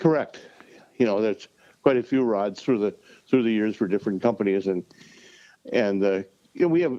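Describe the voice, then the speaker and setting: A man with an American accent speaks at medium pitch and a moderate pace, his dark, mellow tone carried by lively intonation and broken by long, frequent pauses. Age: 70s. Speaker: professional ice fisherman. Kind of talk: podcast interview. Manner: many repeated words and fillers.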